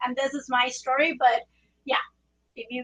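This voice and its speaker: A woman's high, bright and sharp voice with a Spanish accent, at a fairly quick pace, with a dry, close sound and no echo. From Puerto Rico. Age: 40s. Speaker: trauma surgeon. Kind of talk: presentation talk.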